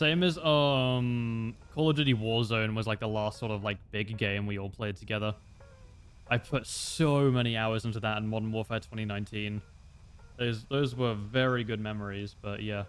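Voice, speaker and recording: A man speaks at a medium pitch while music plays in the background. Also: ordinary pitch variation, moderate pace. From Australia, Gold Coast. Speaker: gaming streamer. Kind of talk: casual live gaming stream chat. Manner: casual, with fillers.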